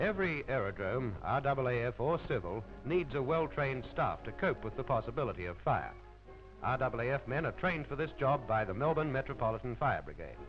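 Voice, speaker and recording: With music in the background, a man speaks fairly quickly at a medium pitch with lively intonation. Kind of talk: newsreel narration.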